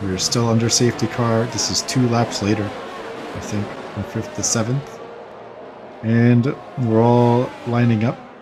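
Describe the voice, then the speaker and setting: Fairly slow and relaxed, the speech keeps a fairly even intonation over noticeable background noise. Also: man, medium pitch for a man. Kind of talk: gameplay commentary. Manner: casual, relaxed.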